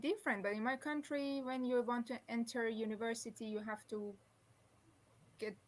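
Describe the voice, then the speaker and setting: A somewhat breathy woman speaks at a fairly high pitch and a moderate pace, with fairly even intonation. The recording is very clean, with a silent background. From Iran. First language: Persian. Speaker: former flight attendant, aviation professor. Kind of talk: interview. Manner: halting, with many restarts.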